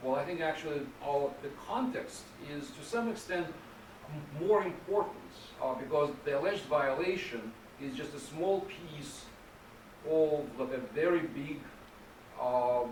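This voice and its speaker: With noticeable background noise and audible room echo, a man with a fairly high pitch and lively intonation talks at a fairly slow pace, leaving long, frequent pauses. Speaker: policy researcher. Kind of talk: lecture. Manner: halting.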